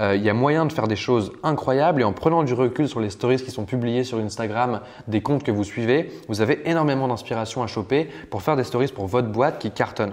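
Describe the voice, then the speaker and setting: Fairly quick speech with ordinary pitch variation. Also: man, medium pitch for a man. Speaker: online business course instructor. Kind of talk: tutorial. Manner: fast; casual.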